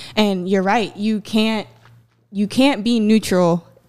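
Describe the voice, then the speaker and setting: This woman has a plain, everyday voice, speaking at a fairly slow pace with fairly even intonation. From US South, South Carolina (Myrtle Beach). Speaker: activist. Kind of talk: interview.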